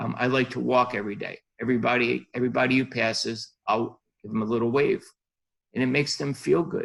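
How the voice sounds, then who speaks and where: Talking very fast with vocal fry, a man keeps a medium pitch and ordinary pitch variation. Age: 60s. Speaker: podiatrist, life coach guest. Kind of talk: interview.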